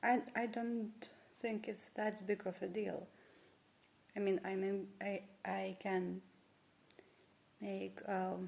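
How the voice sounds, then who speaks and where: A woman with a Lithuanian accent speaks at a very slow pace in a flat, monotone delivery, her medium-pitched voice broken by long, frequent pauses. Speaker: vlogger. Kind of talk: casual vlog monologue. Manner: halting, many fillers and restarts.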